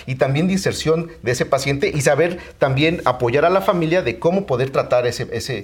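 Against noticeable background noise, a man talks fairly quickly at a fairly high pitch with lively intonation. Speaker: physician. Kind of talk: interview.

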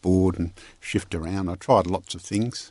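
A man with an Australian accent speaks over a quiet background. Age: 70s.

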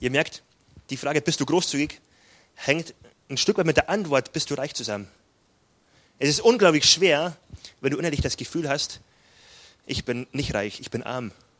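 With a Bavarian accent, a man speaks at a fairly high pitch, using lively intonation and long, frequent pauses. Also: moderate pace. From southern Bavaria, near Salzburg. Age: 20s. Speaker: pastor. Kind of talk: sermon.

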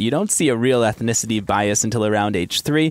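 Speaking at a fairly quick pace, a man uses an ordinary speaking voice at a medium pitch, recorded in a dry, close sound with no echo. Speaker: science editor. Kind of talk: interview explaining research.

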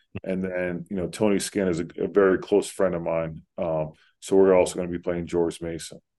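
A man with a very deep, low pitch and an American accent, at a fairly quick pace with monotone, flat intonation, in a quiet background. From Central New Jersey (Pennington). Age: 30s. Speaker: college basketball head coach. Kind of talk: interview.

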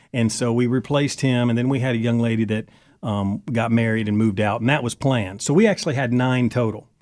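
At a very fast pace, a man speaks with fairly even intonation in a very clean recording with a silent background. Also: medium pitch for a man. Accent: Southern US. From Kentucky. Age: 40s. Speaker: country singer and former reality TV cast member. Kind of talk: interview.

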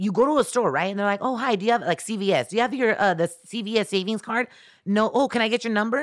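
A very fast, animated voice with ordinary pitch variation on a very clean recording with a silent background. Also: woman, fairly high pitch for a woman. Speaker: radio personality. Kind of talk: casual chat.

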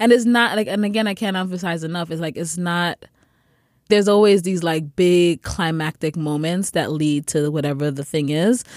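A woman speaks in an unremarkable speaking voice, fairly low in pitch, at a moderate pace. Her pitch varies in an ordinary way, on a very clean recording with a silent background. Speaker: podcast co-host. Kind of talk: casual chat. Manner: laughs often.

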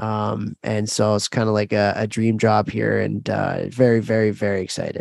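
At a moderate pace and with hardly any pauses, a man speaks in a monotone, flat intonation at a fairly low pitch. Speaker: podcast host and hockey coach. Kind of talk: casual podcast conversation.

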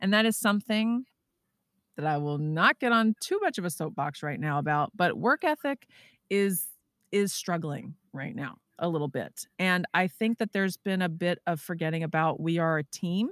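In a very clean recording with a silent background and a dry, close sound with no echo, a woman with an American accent speaks at a moderate pace and a fairly low pitch with lively intonation. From Texas. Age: 40s. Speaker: Broadway actress and podcaster. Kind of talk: casual chat. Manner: animated.

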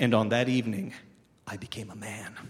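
Noticeable background noise accompanies a man speaking at medium pitch and a moderate pace. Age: 40s. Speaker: cartoonist and film reviewer. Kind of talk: reading aloud.

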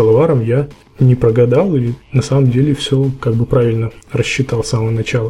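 At a very fast pace, a man talks in a medium pitch with a somewhat breathy, dark, mellow tone and fairly even intonation. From Russia, Yekaterinburg. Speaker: indie game developer. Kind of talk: casual interview. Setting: Skype call.

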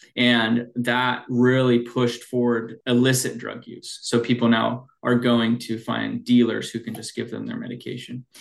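A man with a Pacific Northwest accent and a medium pitch, at a moderate pace with hardly any pauses, monotone, flat intonation and big swings in loudness. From Washington state, Snohomish County. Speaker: addiction medicine clinician and clinic owner. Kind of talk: interview.

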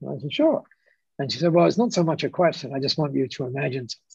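A somewhat breathy man with an Australian accent, fairly high pitch and lively intonation, at a very fast pace, with a dry, close sound, no echo and a quiet background. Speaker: business founder. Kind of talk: interview storytelling. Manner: hesitant with repetitions.

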